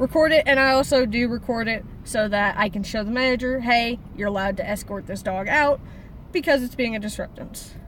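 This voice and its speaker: With an ordinary speaking voice, a woman talks at a fairly quick pace, her fairly high pitch showing ordinary variation. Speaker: service dog handler. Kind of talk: casual chat.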